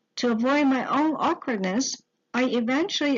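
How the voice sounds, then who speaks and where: A woman with a Mandarin accent talks at a moderate pace. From Taiwan. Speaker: teacher-education student. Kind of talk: scripted narration.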